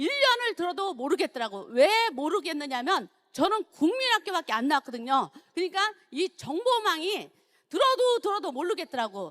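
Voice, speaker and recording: Her pitch extremely high, a woman swings very widely up and down in a dry, close sound with no echo. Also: moderate pace. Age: 60s. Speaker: network marketing business leader. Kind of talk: seminar talk, personal success testimony.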